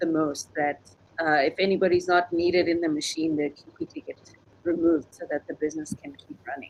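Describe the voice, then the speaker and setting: Speaking in an African accent, a woman talks at a fairly low pitch. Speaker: animation studio owner and podcaster. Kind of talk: panel discussion.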